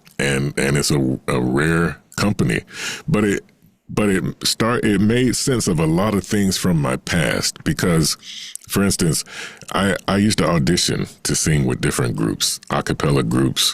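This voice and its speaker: A man's very deep, low voice with vocal fry, very wide pitch swings, a fairly slow pace, very even loudness and a dry, close sound with no echo. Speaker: singer and voice actor. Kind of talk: interview answer. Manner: hesitant, conversational.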